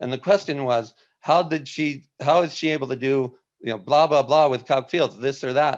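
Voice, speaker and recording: A man talks at a moderate pace in a normal speaking voice. The background is quiet. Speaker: webinar host, former software company employee. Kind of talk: live webinar presentation. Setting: live video stream with chat.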